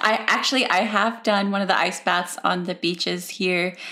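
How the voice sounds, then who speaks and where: Bright and sharp in tone, a woman's medium-pitched voice carries vocal fry as she talks at a moderate pace. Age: 30s. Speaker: podcast host. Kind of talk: interview. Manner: animated.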